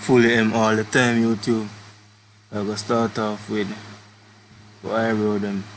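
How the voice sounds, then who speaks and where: A man with a fairly low pitch speaks at a fairly slow pace in monotone, flat intonation, with long, frequent pauses and noticeable background noise. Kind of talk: comedic makeup tutorial voiceover. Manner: casual, joking.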